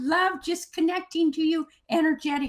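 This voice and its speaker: A woman speaks with an extremely high pitch. Her pitch variation is ordinary. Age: 80s+. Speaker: intuitive energy healer. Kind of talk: interview.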